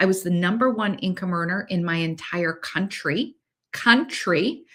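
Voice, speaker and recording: A woman with a Canadian accent speaks at a fairly slow pace, her medium pitch carried by lively intonation. The recording is very clean, with a silent background. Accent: Canadian, says 'eh' a lot. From Canada. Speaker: podcast host, manifestation coach. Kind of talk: personal story monologue. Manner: casual, with filler words.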